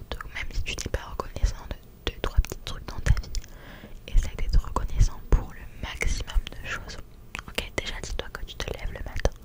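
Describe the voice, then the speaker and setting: Whispered speech with long, frequent pauses and big swings in loudness sits over noticeable background noise. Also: woman. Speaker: ASMR creator. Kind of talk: ASMR positive affirmations. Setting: home studio.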